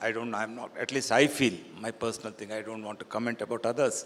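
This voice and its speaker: At a fairly quick pace, a man talks at medium pitch in an unremarkable speaking voice. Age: 60s. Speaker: real estate developer. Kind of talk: panel discussion.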